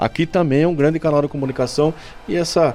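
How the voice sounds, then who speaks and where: Over music in the background, a man talks at a very fast pace in a fairly high voice with fairly even intonation. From Brazil, Indaiatuba (São Paulo state). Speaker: mayor. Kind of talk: radio interview. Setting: radio studio.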